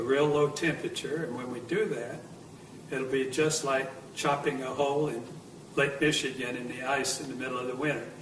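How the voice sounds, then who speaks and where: Speaking with an American accent, a man uses a fairly high pitch and fairly even intonation at a moderate pace, amid audible room echo and noticeable background noise. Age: 70s. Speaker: near-death experience survivor. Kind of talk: testimony. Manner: halting.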